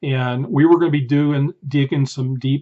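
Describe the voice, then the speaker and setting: Somewhat breathy, the voice moves along at a moderate pace. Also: man. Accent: American. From US South, Georgia. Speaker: archaeologist; interviewee. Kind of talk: recorded answers to student questions. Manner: conversational, with many fillers. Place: home room. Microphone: webcam.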